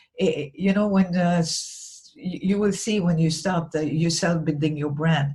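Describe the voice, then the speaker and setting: A woman's somewhat breathy, dark, mellow tone, fairly low in pitch, with ordinary pitch variation at a moderate pace. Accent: non-native. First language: not English. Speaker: business coach / vlogger. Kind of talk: talking-head tutorial. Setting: recorded alone to camera. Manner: halting, many fillers and restarts.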